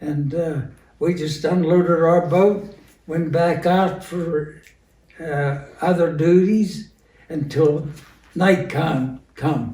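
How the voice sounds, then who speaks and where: A man with a western Pennsylvania accent, high in pitch, very slow, with fairly even intonation and long, frequent pauses. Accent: western Pennsylvania American English. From western Pennsylvania, USA. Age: 90s. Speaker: World War II veteran. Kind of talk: interview answer.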